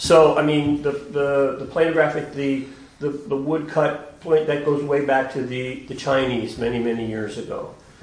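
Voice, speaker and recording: There is noticeable background noise behind the speaker. A man talks at a medium pitch with fairly even intonation. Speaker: gallery director. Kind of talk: gallery talk. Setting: gallery with audience.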